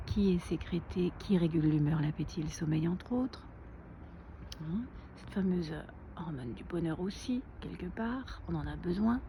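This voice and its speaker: Soft-spoken with vocal fry, a woman talks at a fairly slow pace and fairly low pitch, her intonation lively and her pauses long and frequent. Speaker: naturopath and wellness vlogger. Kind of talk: casual vlog tutorial. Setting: outdoors.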